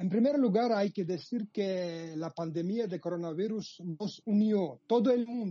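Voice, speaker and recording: At a fairly slow pace, a man speaks in a Georgian accent with hardly any pauses. His pitch is high with ordinary variation. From Georgia (Abkhazia, Sukhumi). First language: Georgian (speaking Spanish). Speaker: journalist. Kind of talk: interview. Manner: halting.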